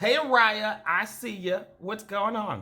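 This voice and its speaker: A man with a Pittsburgh accent uses a raised, projected voice. His tone is animated and bright, sharp. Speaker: dating coach hosting a live dating show. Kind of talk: casual live-stream chat with viewers. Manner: loud, projecting voice; direct, animated.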